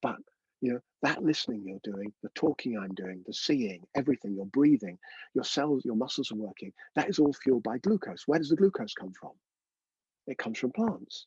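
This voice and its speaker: A man talks at a fairly quick pace and medium pitch, with lively intonation and big swings in loudness. The sound is dry and close, with no echo. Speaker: breathwork teacher. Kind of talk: online workshop lecture. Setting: in a caravan. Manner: fast.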